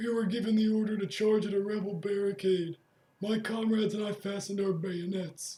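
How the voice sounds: Putting on a character voice, a man speaks at a high pitch and a fairly quick pace.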